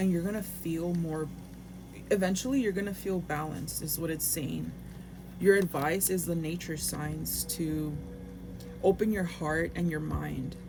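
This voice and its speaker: Music plays in the background as the speech moves at a fairly slow pace with long, frequent pauses and audible room echo. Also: woman. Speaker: tarot reader. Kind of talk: tarot reading. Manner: halting.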